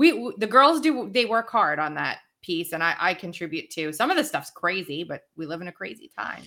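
A woman with an American accent at a medium pitch, bright and sharp in tone, fairly quick with hardly any pauses, her pitch swinging very widely and her loudness changing greatly, on a very clean recording with a silent background. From New York (Long Island, Brooklyn, Queens). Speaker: podcaster and commentator.

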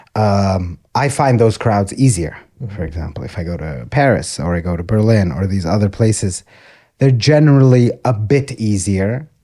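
A man's fairly low, dark, mellow voice with a slight Texan accent, lively intonation and a moderate pace, on a very clean recording with a silent background. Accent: American English, slight Texan. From Texas, US (Austin). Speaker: stand-up comedian. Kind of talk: casual interview chat.

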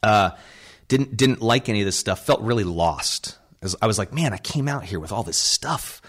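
With a normal speaking voice, a man talks at a moderate pace with lively intonation on a very clean recording with a silent background. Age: 40s. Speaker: improv comedy theater founder. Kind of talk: interview.

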